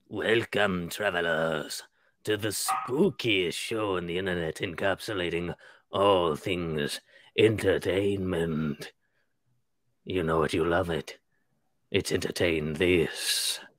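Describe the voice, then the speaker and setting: Using a put-on character voice, a man speaks at a fairly slow pace with a very deep, low pitch and long, frequent pauses. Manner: theatrical, spooky.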